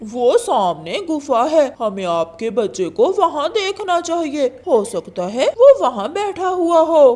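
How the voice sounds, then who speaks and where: In a high, cartoonish character voice with very wide pitch swings, the speaker goes at a fairly slow pace with hardly any pauses. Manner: sly, deceitful.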